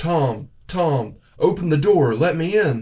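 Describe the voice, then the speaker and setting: In a put-on character voice, a man speaks fairly slowly at a fairly high pitch. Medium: read story. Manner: wheedling, insistent.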